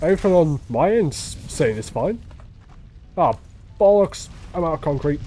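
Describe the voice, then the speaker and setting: A high-pitched man with a British accent, lively intonation, a moderate pace and long, frequent pauses. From Britain. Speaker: game streamer. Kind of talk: casual chat. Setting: live stream with voice chat.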